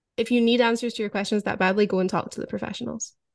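A woman with a Scottish accent, fairly high pitch, monotone, flat intonation and a very fast pace. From Scotland. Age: 30s. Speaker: author and former orca trainer. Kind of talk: interview conversation.

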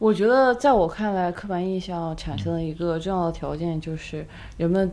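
A soft-spoken woman's fairly low voice, dark and mellow in tone, with ordinary pitch variation. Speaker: podcast co-host. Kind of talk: casual chat.

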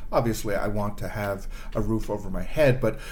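With audible room echo, a man with a Canadian accent speaks with vocal fry. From Canada, Toronto. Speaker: improv performer and producer. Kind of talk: casual chat.

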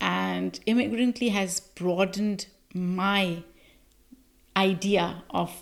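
A woman of medium pitch with a Pakistani accent. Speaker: podcast host and producer. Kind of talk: interview.

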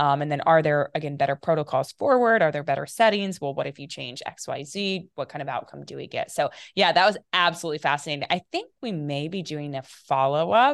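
In an American accent, the speaker talks at a fairly quick pace with lively intonation and big swings in loudness, in a dry, close sound with no echo against a quiet background. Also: woman, very deep, low pitch for a woman. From US Midwest, small-town Ohio north of Dayton. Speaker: epigenetics researcher and company founder. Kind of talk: interview.

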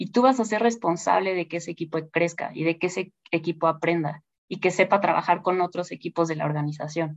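A woman at fairly low pitch and fairly quick pace, with ordinary pitch variation, hardly any pauses, and a dry, close sound with no echo. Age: 40s. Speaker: investment director and finance professor. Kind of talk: interview. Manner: hesitant fillers.

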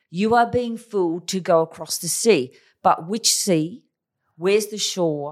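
Speaking at a fairly slow pace, a woman with an Australian accent holds a medium pitch with ordinary pitch variation. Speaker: China strategy consultant and author. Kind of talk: casual interview, storytelling.

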